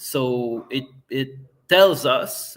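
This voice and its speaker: A man with a Quebec accent speaks at a medium pitch. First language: French. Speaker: political party member, interview guest. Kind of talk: podcast interview. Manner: halting, many repetitions.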